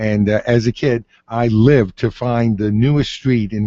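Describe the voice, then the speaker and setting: A man has an ordinary speaking voice at a medium pitch. His intonation stays fairly even. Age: 60s. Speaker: city mayor. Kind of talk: radio call-in Q&A.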